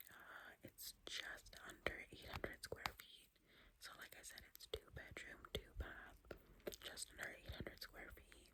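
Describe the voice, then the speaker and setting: Whispering at a fairly slow pace, a woman shows big swings in loudness over noticeable background noise. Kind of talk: ASMR whisper ramble. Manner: whispered, soft-spoken.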